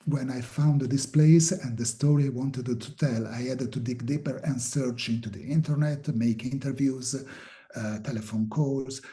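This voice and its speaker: With an Italian accent, a man at medium pitch speaks at a moderate pace in a somewhat breathy voice with a dark, mellow tone and fairly even intonation. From Italy. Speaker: filmmaker and journalist. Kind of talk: interview. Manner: halting, many fillers.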